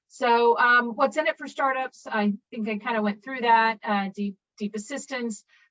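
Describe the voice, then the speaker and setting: Heard in a dry, close sound with no echo, a woman speaks at a fairly high pitch with fairly even intonation. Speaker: university innovation officer and entrepreneur. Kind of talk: presentation. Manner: fast.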